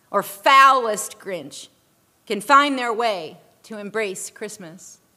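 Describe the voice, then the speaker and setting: A woman's raised, projected voice, bright and sharp in tone, with lively intonation at a fairly slow pace. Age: 40s. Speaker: pastor. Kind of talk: sermon.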